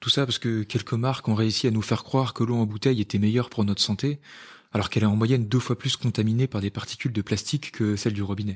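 A man talks very fast at a medium pitch with fairly even intonation. The recording is very clean, with a silent background. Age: 20s. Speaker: podcast co-host, medical resident. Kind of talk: scripted dialogue.

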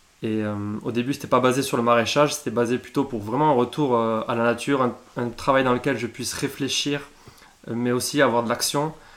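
In an ordinary speaking voice, a man talks at a moderate pace with a medium pitch and fairly even intonation. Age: 30s. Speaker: apprentice market gardener. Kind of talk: interview. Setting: on the farm.

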